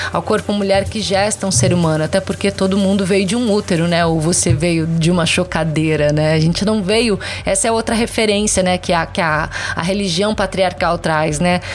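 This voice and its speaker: Amid noticeable background noise, a woman speaks at a moderate pace and medium pitch, with very even loudness and ordinary pitch variation. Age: 30s. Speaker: social media content creator. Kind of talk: interview.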